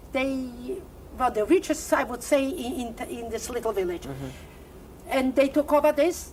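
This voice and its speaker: A woman's high voice at a fairly slow pace, over noticeable background noise. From Poland. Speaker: Holocaust survivor giving oral history interview. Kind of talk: interview answer, oral history testimony.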